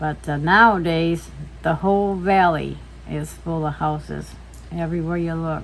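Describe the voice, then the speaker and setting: Audible room echo colors the recording. A woman speaks at a moderate pace. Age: 70s. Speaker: mother and grandmother interviewed by her son. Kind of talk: casual family interview.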